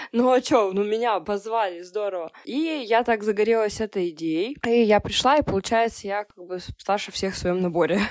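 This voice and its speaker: In a very clean recording with a silent background, a woman in a normal speaking voice at a medium pitch talks at a moderate pace with ordinary pitch variation, big swings in loudness and hardly any pauses. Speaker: journalist and SMM specialist. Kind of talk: casual chat.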